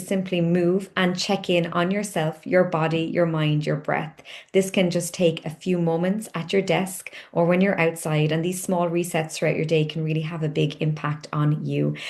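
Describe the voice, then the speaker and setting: A woman with a Cork accent speaks at a moderate pace with hardly any pauses and a fairly low pitch. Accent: Cork Irish. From Ireland, Cork. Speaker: company founder, wellness coach. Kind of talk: onboarding tutorial.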